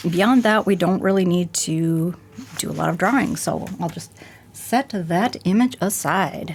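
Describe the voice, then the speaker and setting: A woman's fairly low voice with ordinary pitch variation. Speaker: art instructor. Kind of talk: tutorial.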